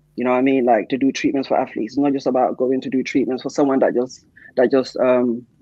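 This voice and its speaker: A man speaks at a fairly quick pace. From Gambia. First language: Mandinka. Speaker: sports therapist. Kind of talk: interview.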